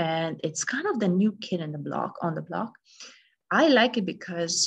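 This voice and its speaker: Intonation here is lively, and the pace is moderate. There is a somewhat breathy quality to the voice. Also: woman. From Romania. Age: 40s. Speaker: integrative medicine doctor. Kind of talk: recorded presentation. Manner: hesitant with fillers.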